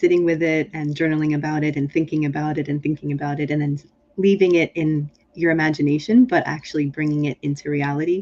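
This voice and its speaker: In an American accent, a woman speaks with a very deep, low pitch. Her pace is moderate and her intonation fairly even. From Pennsylvania, US (Harrisburg and Philadelphia). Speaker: leadership consultant and author. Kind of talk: interview. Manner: many fillers and repetitions.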